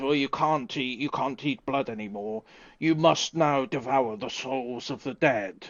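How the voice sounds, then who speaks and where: Putting on a character voice, a man growls and booms at a medium pitch and a moderate pace. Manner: commanding, dramatic.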